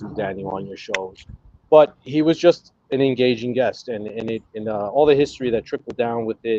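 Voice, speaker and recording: A man speaks with an American accent at a moderate pace. His pitch varies in an ordinary way, and the sound is dry and close with no echo. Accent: Brooklyn accent, deep at times. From New York, Brooklyn. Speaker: cigar content creator and historian. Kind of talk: casual chat.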